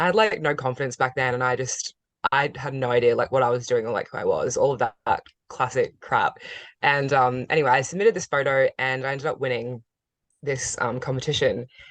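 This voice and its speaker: With an Australian accent, a woman speaks fairly quickly in a very deep, low voice with ordinary pitch variation. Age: 20s. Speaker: model and content creator. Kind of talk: casual interview chat.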